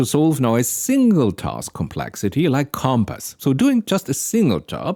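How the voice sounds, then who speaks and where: In a very clean, dry, close recording with a silent background and no echo, a man with a non-native accent speaks at a moderate pace in a medium pitch, his tone dark and mellow. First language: not English. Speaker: AI explainer video creator. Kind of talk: explanatory tech talk. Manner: thinking aloud with hesitations.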